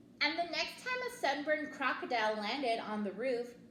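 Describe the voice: A woman speaks at a moderate pace in a high voice with a fairly bright tone and lively intonation, and the room echo is audible.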